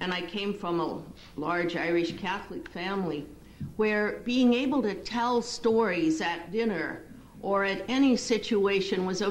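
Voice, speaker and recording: A woman speaks at a moderate pace with lively intonation. Audible room echo and noticeable background noise surround her voice. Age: 60s. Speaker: clinical psychologist. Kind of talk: lecture.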